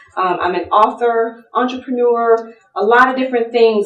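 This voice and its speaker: A woman in an American accent speaks at a moderate pace, with audible room echo and noticeable background noise. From US South. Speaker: lawyer and pageant titleholder speaker. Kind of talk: seminar talk.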